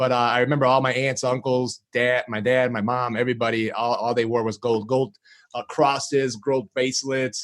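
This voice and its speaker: This man's voice sits at a medium pitch, with monotone, flat intonation. He keeps a moderate pace. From Chicago, US Midwest. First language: Greek. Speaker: marketing agency founder. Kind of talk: podcast interview. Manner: casual, filler-heavy.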